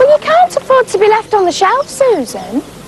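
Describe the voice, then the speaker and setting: A woman puts on a squeaky character voice at an extremely high pitch. She speaks at a moderate pace with clear background noise. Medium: audio drama.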